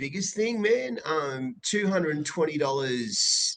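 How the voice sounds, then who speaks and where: With an Australian accent, a man speaks with very wide pitch swings. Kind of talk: casual chat.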